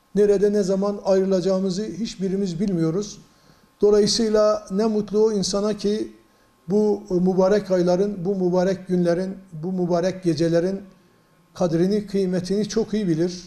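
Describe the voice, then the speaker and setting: At a moderate pace, a man with a high pitch speaks in a dark, mellow tone, his intonation monotone and flat. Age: 60s. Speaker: provincial mufti, religious official. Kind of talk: religious advice talk to news camera. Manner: measured, preacher-like with hesitations.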